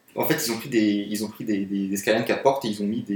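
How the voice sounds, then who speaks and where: A man with a normal speaking voice talks with fairly even intonation. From France, Paris. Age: 20s. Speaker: car photographer. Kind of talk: casual chat.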